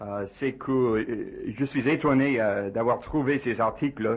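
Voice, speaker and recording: Someone with an English accent speaks at a very slow pace. The background is quiet. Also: man. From USA. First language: English (speaking French). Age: 40s. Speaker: physicist. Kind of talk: radio interview. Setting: radio studio. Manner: halting, many hesitations.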